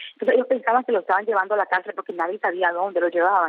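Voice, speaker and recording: Speaking at a very fast pace, a woman holds a medium pitch. Her pitch variation is ordinary. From Nicaragua. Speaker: journalist. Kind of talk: interview.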